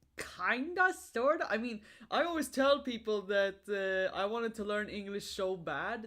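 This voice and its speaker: Using an American accent, a woman speaks at a fairly slow pace and a medium pitch, with lively intonation and hardly any pauses. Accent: sounds American to Swedes. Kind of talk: casual chat. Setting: livestream.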